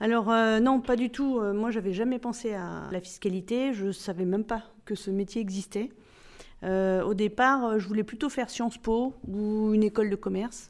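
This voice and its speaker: A woman speaks in an unremarkable speaking voice at a fairly high pitch and a moderate pace, with fairly even intonation. The recording is very clean, with a silent background. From Spain, Barcelona, then France and South America. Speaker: corporate tax director. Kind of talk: interview.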